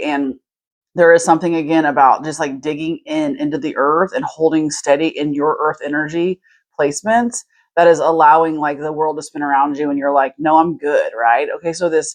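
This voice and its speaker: A woman with a very deep, low pitch at a fairly quick pace. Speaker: tarot reader. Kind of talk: tarot reading. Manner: fast; animated.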